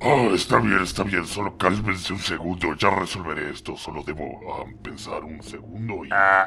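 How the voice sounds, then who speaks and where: A man performs a put-on character voice with a very deep, low pitch, his loudness swinging widely. He barely pauses, over clear background noise. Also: moderate pace, ordinary pitch variation. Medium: machinima.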